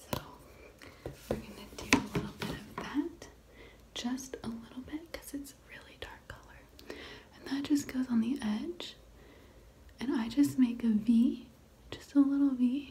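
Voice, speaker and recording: Soft-spoken and high-pitched, a woman speaks at a fairly slow pace with fairly even intonation and long, frequent pauses. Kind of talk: ASMR makeup routine talk to camera.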